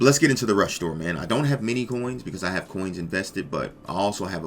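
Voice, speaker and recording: Noticeable noise fills the background. Over it, a man speaks very quickly. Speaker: gaming youtuber. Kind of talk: gameplay commentary. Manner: casual, hesitant with fillers.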